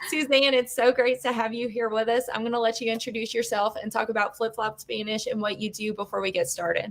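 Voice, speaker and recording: A woman speaks fairly quickly in a fairly high pitch, with an American accent. Noticeable background noise is present. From Louisiana (Cajun). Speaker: webinar host, homeschool business owner. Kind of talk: casual webinar hosting. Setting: video webinar.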